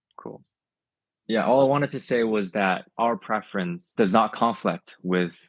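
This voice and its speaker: At a fairly slow pace, a man with a non-native accent speaks in dry, close sound with no echo over a quiet background. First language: not English. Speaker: toy figure brand maker. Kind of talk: interview. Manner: clear enunciation.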